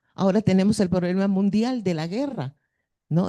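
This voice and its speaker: A woman speaks at a medium pitch in a dark, mellow tone. The background is quiet. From northern Peru (Piura). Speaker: schoolteacher. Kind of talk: audience question at a conference.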